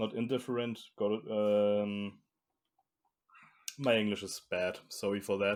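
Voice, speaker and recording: In a German accent, a man speaks at a fairly slow pace and fairly low pitch, with fairly even intonation and long, frequent pauses. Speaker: fingerboard wheel maker. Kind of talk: interview. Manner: halting.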